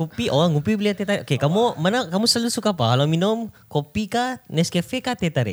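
Hardly pausing at all, a man speaks very fast at a high pitch, with very wide pitch swings and very even loudness. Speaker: podcast co-host. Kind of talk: casual chat.

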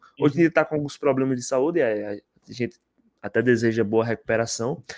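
Nothing much stirs in the quiet background. The voice sounds dry and close-up, free of echo. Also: man. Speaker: YouTube interviewer. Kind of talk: casual chat. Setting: live stream.

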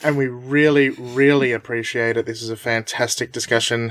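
Here is a man with an Australian accent. His medium-pitched voice has monotone, flat intonation. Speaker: podcast host. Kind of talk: casual chat.

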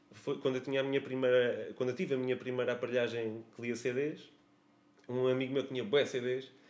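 Here a man with a medium pitch uses a plain, everyday voice at a moderate pace. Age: 30s. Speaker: musician. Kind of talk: casual chat.

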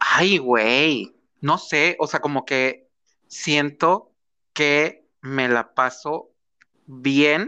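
The tone is bright and sharp, with a Mexican accent and a quiet background. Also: man. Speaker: podcast co-host. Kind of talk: casual chat. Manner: animated.

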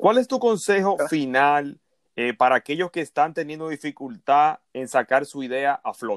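Here is a man with a plain, everyday voice, fairly high in pitch and lively in intonation. The sound is dry and close with no echo. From Dominican Republic. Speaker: podcast host, digital marketing consultant. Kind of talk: interview.

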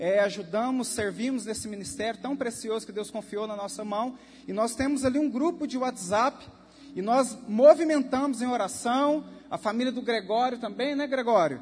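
This man's voice is extremely high-pitched, moving at a moderate pace with ordinary pitch variation. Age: 30s. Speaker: preacher and youth leader. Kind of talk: sermon. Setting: church service.

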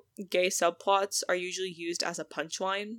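A woman's plain, everyday voice, medium in pitch, at a moderate pace. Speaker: podcast host. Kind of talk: casual chat.

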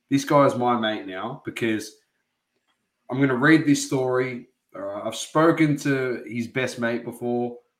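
Speaking with an Australian accent, a man uses a medium pitch and fairly even intonation. His pace is fairly slow, broken by long, frequent pauses. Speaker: sports podcast co-host. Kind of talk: casual chat.

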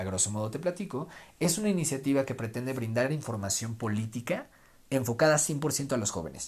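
In a very clean recording with a silent background, a somewhat breathy man speaks at a fairly quick pace with ordinary pitch variation. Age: 20s. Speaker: podcast host and political columnist. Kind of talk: solo podcast monologue.

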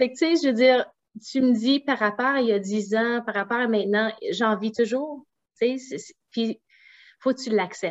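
Speaking at a fairly slow pace with long, frequent pauses, a woman uses a fairly high voice with ordinary pitch variation. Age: 40s. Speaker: naturopath and entrepreneur. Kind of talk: interview.

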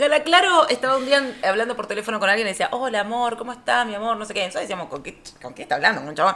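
Over noticeable background noise, a woman with a Rioplatense accent talks very fast, her pitch swinging very widely and her loudness rising and falling sharply. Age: 30s. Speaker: podcast co-host. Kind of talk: casual chat.

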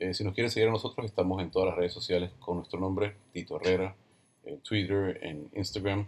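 A somewhat breathy voice at a fairly quick pace, with fairly even intonation. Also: man. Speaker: podcast host and photographer. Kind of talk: casual interview podcast.

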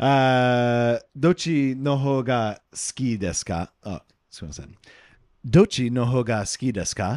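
A man with an English accent speaks at a very slow pace in a medium pitch, with ordinary pitch variation, big swings in loudness, and a dry, close sound with no echo. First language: English (speaking Japanese). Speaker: podcast co-host, Japanese learner and former English teacher. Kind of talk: casual bilingual chat. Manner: halting in Japanese.

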